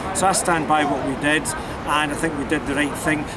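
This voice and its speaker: A man with a Glasgow accent speaks in a fairly high pitch. Noticeable background noise and audible room echo fill the recording. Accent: Scottish (Glasgow). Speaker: political activist. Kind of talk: interview. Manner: animated.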